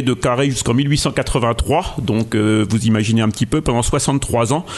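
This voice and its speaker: Noticeable background noise sits behind this man's voice. His pitch varies in an ordinary way. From Morvan, Burgundy. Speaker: local historian and author. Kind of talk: interview. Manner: halting, many repetitions.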